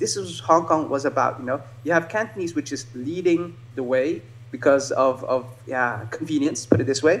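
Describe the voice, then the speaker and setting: Noticeable background noise sits behind a man talking at a fairly quick pace. His voice is fairly high in pitch. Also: ordinary pitch variation. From Netherlands. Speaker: martial artist. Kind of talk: casual chat. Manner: halting.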